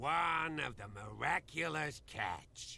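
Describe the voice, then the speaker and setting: A raspy, put-on character voice moves at a fairly slow pace over clear background noise. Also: man. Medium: video game.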